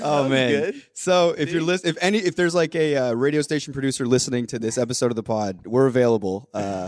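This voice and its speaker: A man talks at a very fast pace with lively intonation and hardly any pauses. His pitch is medium, and there is noticeable background noise. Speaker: podcast host. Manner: casual, joking.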